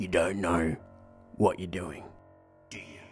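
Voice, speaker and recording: Putting on a raspy character voice with a very deep, low pitch, a man speaks at a fairly slow pace while music plays in the background. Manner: gruff, confrontational.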